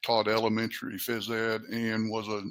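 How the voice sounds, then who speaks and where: Here is a man with an Appalachian accent. His pitch is medium. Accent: Appalachian American. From US South. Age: 60s. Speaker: training and development professional. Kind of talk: interview. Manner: halting.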